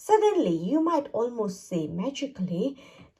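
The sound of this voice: A woman speaks at a fairly slow pace, her pitch swinging widely.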